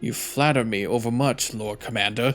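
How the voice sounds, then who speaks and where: Doing a put-on character voice, a man sounds raspy at a medium pitch and moderate pace, with faint music in the background. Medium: game stream. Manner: curt, archaic.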